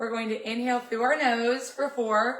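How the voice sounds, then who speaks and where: A woman talks at a fairly high pitch. Her intonation is monotone and flat. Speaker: fitness coach. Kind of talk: guided stretch class.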